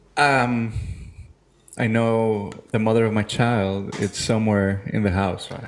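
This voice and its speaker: Music plays in the background as a man talks at a medium pitch in a monotone, flat intonation, with audible room echo. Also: fairly slow pace. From Venezuela, raised in Miami. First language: Spanish. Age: 30s. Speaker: chef and podcast co-host. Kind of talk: casual comedic chat.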